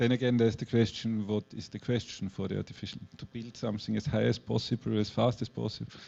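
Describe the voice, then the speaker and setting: A man with a German accent speaks very fast, with hardly any pauses. His fairly low voice has vocal fry and a monotone, flat intonation. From Austria (Graz). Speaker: artist. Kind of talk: public artist talk. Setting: gallery event with audience. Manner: halting, searching for words.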